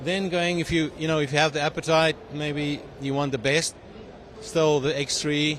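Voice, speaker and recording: Over noticeable background noise, a man talks at a fairly quick pace in a South African accent. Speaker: tech company CEO and engineer. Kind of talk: interview. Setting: trade show. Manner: halting with many fillers.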